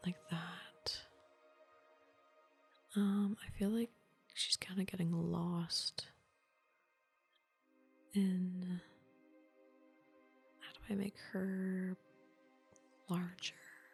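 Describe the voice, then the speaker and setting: Over music in the background, a soft-spoken voice talks at a very slow pace in a relaxed tone, with long, frequent pauses. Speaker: ASMR gaming streamer. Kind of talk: casual gameplay commentary, thinking aloud. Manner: soft-spoken, relaxed.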